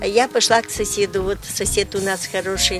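A woman talks at a moderate pace, with clear music in the background. The sound is dry, with no echo. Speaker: retired kindergarten teacher, home craftswoman. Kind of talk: casual interview answer to a reporter. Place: garden.

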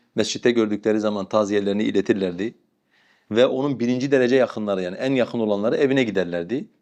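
Against a quiet background, a man speaks very fast at a medium pitch with ordinary pitch variation. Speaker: Islamic scholar giving religious advice. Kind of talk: religious advice answering a question.

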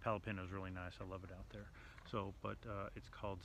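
Through noticeable background noise, a man with a fairly low pitch speaks with vocal fry, the sound dry with no echo. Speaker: travel vlogger. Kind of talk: casual vlog chat. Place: street. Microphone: phone near.

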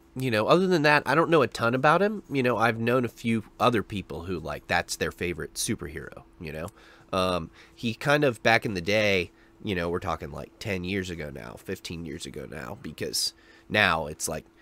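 In a bright, sharp tone, a voice moves at a moderate pace with very wide pitch swings and big swings in loudness, in a dry sound with no echo. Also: man, fairly low pitch for a man. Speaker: reaction video host. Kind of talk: casual vlog chat. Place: home room. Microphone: studio mic.

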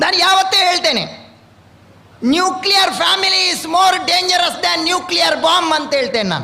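Over noticeable background noise and audible room echo, a man with a coastal Karnataka accent speaks in a raised, projected voice at an extremely high pitch, with fairly even intonation. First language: Tulu (speaking Kannada). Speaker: swami, religious leader. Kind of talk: religious blessing speech.

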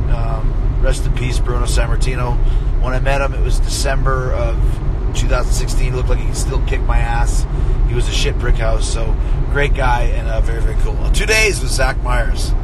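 A man's voice sounds dry, without any echo, while heavy noise fills the background. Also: moderate pace. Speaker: host talking to live viewers. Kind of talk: casual vlog chat. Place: car. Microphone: phone near.

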